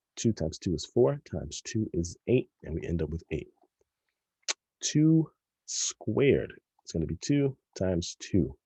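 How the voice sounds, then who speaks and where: Somewhat breathy and dark, mellow in tone, a man with a fairly low pitch swings very widely in pitch and leaves long, frequent pauses. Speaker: math teacher. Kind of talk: tutorial. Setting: recorded video lesson. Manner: fast.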